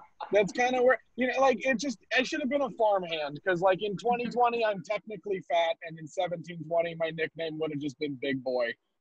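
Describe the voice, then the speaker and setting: Loud and high-pitched, a man's voice swings very widely in pitch, with a dry, close sound and no echo. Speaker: stand-up comedian. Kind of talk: stand-up. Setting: video call from his car.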